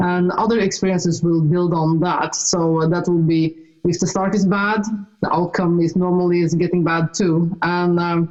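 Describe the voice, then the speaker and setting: Monotone, flat intonation from a woman with a Norwegian accent, very even loudness, and noticeable background noise. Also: fairly low pitch for a woman, moderate pace. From Norway. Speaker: author and speaker, ET experiencer. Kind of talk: casual chat. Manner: halting.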